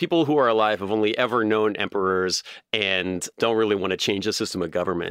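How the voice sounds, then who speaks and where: A man's fairly low voice at a very fast pace, with ordinary pitch variation and a quiet background. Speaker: podcast host. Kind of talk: scripted narration then casual chat about history.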